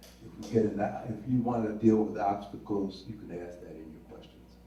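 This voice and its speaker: A man talks at a fairly slow pace in a fairly low voice. Audible room echo surrounds him. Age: 80s+. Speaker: retired school administrator. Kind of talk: panel talk.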